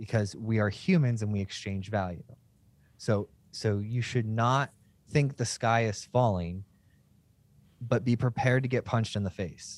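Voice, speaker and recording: A man with an American accent at a medium pitch, at a moderate pace with ordinary pitch variation and long, frequent pauses, in a very clean recording with a silent background. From United States. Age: 30s. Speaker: tech podcast host. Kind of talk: casual interview conversation. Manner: animated.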